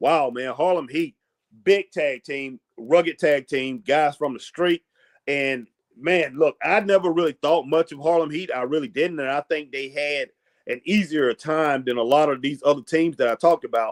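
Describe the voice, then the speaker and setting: At a moderate pace, a man with a normal speaking voice and fairly high pitch talks with ordinary pitch variation, the sound dry and close with no echo. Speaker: wrestling show host. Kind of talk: casual live stream commentary.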